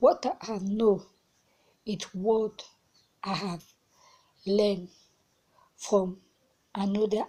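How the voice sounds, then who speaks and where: A woman's somewhat breathy voice with a dark, mellow tone, monotone, flat intonation and a very slow pace. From central Africa. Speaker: advocate for people with Turner syndrome. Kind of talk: personal testimony. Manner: halting.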